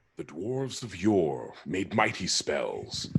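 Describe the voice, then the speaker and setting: A man puts on a booming character voice at a fairly low pitch. His delivery is dramatic and fairly slow. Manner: booming dramatic trailer-narrator delivery.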